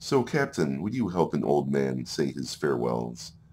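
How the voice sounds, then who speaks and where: A man puts on a character voice that is wheezy and croaky, with a very deep, low pitch. His pace is moderate, and his pitch variation is ordinary. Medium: game stream.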